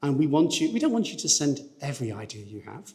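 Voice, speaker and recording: A man talks with a northern English accent. Room echo can be heard around his voice. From northern England. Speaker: research funding agency representative. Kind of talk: presentation to conference audience. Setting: conference hall with audience. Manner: fast.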